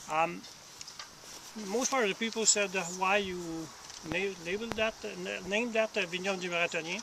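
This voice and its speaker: High male voice with fairly even intonation at a moderate pace, over noticeable background noise. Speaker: vineyard owner. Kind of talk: guided tour talk. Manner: halting, many fillers.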